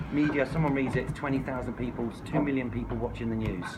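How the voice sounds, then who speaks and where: A man with a medium pitch speaks amid noticeable background noise and audible room echo. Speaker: squatter activist and campaign adviser. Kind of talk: workshop talk. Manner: fast; animated.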